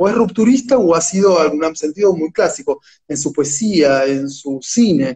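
Lively intonation marks a man's high-pitched voice with a dark, mellow tone. His pace is moderate. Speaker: literature scholar and translator. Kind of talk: interview. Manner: halting, repeats words.

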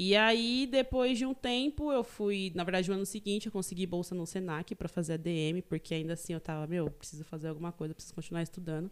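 Very fast and with hardly any pauses, a woman of medium pitch speaks with lively intonation in a very clean recording with a silent background. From Greater São Paulo, Taboão da Serra. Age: 20s. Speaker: university student. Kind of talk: casual chat.

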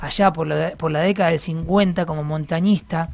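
A man in an Argentine accent, at a moderate pace, with ordinary pitch variation. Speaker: radio host. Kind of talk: casual chat. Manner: animated.

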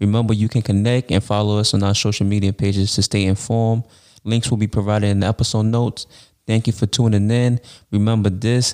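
A man with a fairly low pitch and a dark, mellow tone talks very fast in a monotone, flat delivery, the sound dry and close with no echo on a very clean recording with a silent background. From Brooklyn, New York. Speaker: podcast host. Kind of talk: podcast interview; scripted outro.

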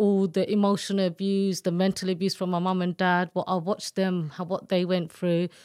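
A woman in an East London accent speaks at a moderate pace and medium pitch with monotone, flat intonation, on a very clean recording with a silent background and a dry, close sound with no echo. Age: 50s. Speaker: domestic abuse survivor and author. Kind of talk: testimony.

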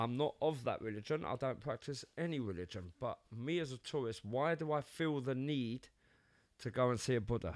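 A man with a London accent speaks at a moderate pace, his pitch in the middle range. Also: ordinary pitch variation, very clean recording, silent background. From London, England. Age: 50s. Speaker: podcast co-host. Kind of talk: casual chat.

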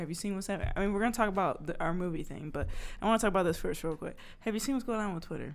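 The speech races along at a very fast pace in an animated tone. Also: woman. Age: 20s. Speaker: podcast co-host. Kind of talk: casual chat.

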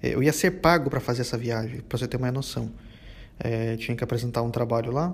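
A man talks at a very fast pace with vocal fry, ordinary pitch variation and long, frequent pauses. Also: medium pitch for a man. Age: 20s. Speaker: podcast host. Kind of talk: monologue rant. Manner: halting.

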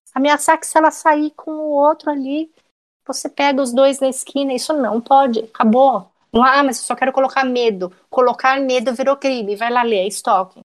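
The woman's voice sits high, with ordinary pitch variation. She keeps a moderate pace. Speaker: private investigator and true crime podcaster. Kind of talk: casual interview chat.

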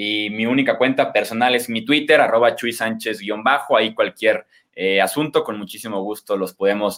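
With an unremarkable speaking voice, a man talks at medium pitch and a moderate pace on a very clean recording with a silent background. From Mexico, Guadalajara, Jalisco. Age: 20s. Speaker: sports journalist and analyst. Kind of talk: podcast interview, sports analysis.

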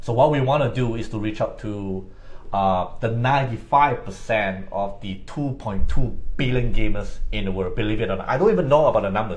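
This man's voice sits fairly low and sounds somewhat breathy, moving at a moderate pace with ordinary pitch variation. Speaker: podcast co-host. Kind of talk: casual chat.

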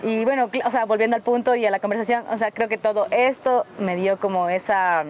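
Talking at a fairly quick pace with hardly any pauses, a woman with a Quito accent keeps a very even loudness, a fairly high pitch and ordinary pitch variation. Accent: Quito Ecuadorian Spanish. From Ecuador, south Quito. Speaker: photographer. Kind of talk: casual chat.

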